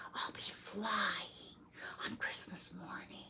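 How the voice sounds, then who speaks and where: A very slow, whispered put-on character voice. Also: woman. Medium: read story. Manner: earnest, wistful.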